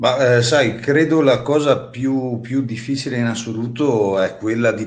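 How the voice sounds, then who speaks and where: A man at a moderate pace, with audible room echo. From Trentino, northern Italy. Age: 30s. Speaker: singer-songwriter. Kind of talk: interview. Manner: hesitant, many fillers and repetitions.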